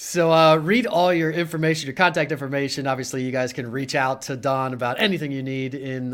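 Here is a man with an unremarkable speaking voice, pitched fairly high with ordinary variation. He goes at a fairly quick pace with hardly any pauses. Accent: American. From Pennsylvania, Harrisburg. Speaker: podcast host and realtor. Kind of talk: casual live-stream interview.

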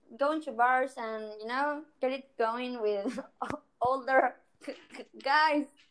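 A woman with a high pitch speaks at a very slow pace, with ordinary pitch variation. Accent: Spanish. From Argentina. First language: Spanish. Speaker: singer-songwriter and doctor. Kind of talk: casual interview chat.

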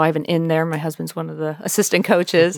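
Here is a woman with an American accent. She has an ordinary speaking voice. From York County, Pennsylvania. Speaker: school counselor and sports psychologist. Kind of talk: interview.

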